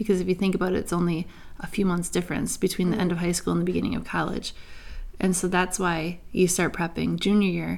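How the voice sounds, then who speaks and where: Speaking very fast with vocal fry, a woman uses a fairly low pitch and monotone, flat intonation in an American accent. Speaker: podcast co-host, mother. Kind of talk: casual chat.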